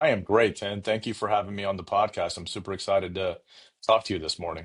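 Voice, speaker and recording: Somewhat breathy and fairly low in pitch, a man speaks at a very fast pace over a quiet background. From India, Punjab; moved to US at ten. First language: Punjabi or Hindi (not English). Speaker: cybersecurity executive. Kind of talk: interview.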